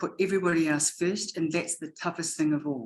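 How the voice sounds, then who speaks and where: Speaking fairly quickly, a woman with a New Zealand accent has a fairly low pitch. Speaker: educator and education consultant. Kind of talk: webinar presentation. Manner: animated; fast when excited.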